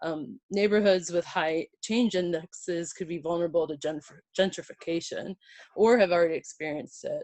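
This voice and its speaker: A woman speaks at a moderate pace in a fairly low pitch. Her voice shows ordinary pitch variation, with a dry, close sound and no echo. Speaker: GIS presenter. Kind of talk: conference presentation. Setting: virtual event. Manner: hesitant, many filler words.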